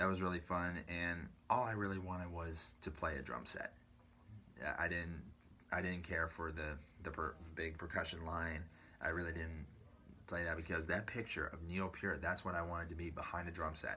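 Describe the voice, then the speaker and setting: Speaking with an American accent, a man with a very deep, low pitch and a bright, sharp tone talks at a moderate pace with fairly even intonation over light background noise. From US West Coast, San Bruno, California. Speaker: drummer and YouTuber. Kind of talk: personal story monologue. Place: home room. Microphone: phone near.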